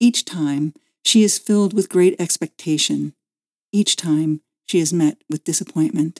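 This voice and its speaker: This is a normal speaking voice with ordinary pitch variation at a fairly slow pace. The recording is very clean with a silent background, and the sound is dry and close with no echo. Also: woman, fairly low pitch for a woman. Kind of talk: literary audiobook reading.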